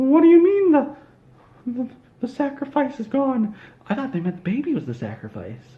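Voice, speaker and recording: In a put-on character voice, the speaker moves at a moderate pace with long, frequent pauses. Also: man, extremely high pitch for a man. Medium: solo performance. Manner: exclaims "ho ho".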